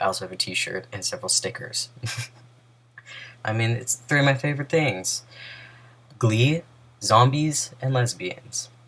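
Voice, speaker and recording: Mumbling from a man at medium pitch, moderate in pace. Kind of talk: casual talk to camera.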